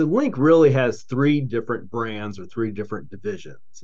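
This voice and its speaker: A man with a plain, everyday voice and an American accent, lively intonation at a moderate pace. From Charleston, West Virginia. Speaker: entrepreneur, company CEO. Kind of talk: casual interview.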